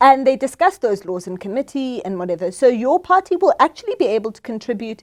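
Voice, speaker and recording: A woman's high voice at a very fast pace with hardly any pauses, very wide pitch swings and big swings in loudness, in a dry, close sound with no echo. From South Africa. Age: 30s. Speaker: political scientist. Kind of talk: interview.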